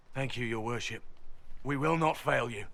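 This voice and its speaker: In a raspy, put-on character voice, the speaker moves at a moderate pace. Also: man, medium pitch for a man. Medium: video game. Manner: deferential.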